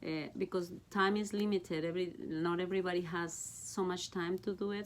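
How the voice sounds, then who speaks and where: A woman with a Mexican accent and fairly even intonation. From Mexico. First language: Spanish. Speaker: Bible study teacher. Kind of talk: casual chat.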